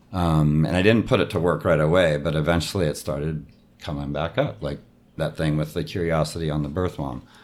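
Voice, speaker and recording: A man's very deep, low voice with vocal fry at a fairly quick pace. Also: ordinary pitch variation. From San Diego, California. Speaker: improviser. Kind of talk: interview.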